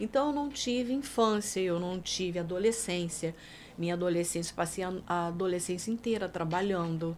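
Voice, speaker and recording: Here a woman at medium pitch uses an ordinary speaking voice, moving at a moderate pace with ordinary pitch variation. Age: 60s. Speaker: singer and songwriter. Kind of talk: casual chat.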